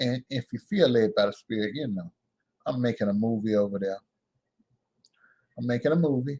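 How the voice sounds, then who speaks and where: Delivered at a fairly quick pace with long, frequent pauses, the voice has a dark, mellow tone and ordinary pitch variation, in a dry, close sound with no echo. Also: man, medium pitch for a man. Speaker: livestream host, vlogger. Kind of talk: casual livestream talk. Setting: live stream. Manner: animated.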